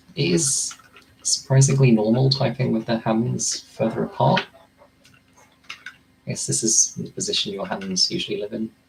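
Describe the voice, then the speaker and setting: Over noticeable background noise, a man talks at a moderate pace and medium pitch. His pitch swings very widely, and his pauses are long and frequent. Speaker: content creator. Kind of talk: casual monologue while typing practice.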